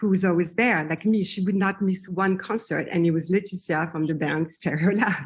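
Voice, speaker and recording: With a French accent, a woman speaks in fairly even intonation. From France, Paris. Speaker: singer. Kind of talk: interview.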